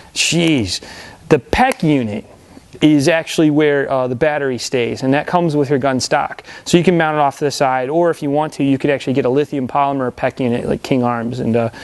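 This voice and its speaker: This man's voice sits at a fairly high pitch with fairly even intonation. He speaks at a fairly quick pace. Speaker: airsoft store owner and product reviewer. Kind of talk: product review. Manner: fast; casual, with many fillers.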